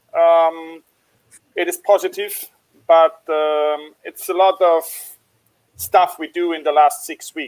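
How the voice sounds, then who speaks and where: A German accent comes through at a very slow pace, with long, frequent pauses and a monotone, flat intonation. The loudness swings widely, and the sound is dry and close with no echo. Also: man, high pitch for a man. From Germany, Stuttgart area. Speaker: small business owner, laser user. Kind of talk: webinar panel interview. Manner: halting, many fillers.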